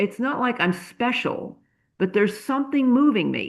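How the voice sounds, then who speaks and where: Her pitch is high for a woman. It varies in an ordinary way. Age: 70s. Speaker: movement teacher and author. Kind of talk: interview. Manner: halting; animated.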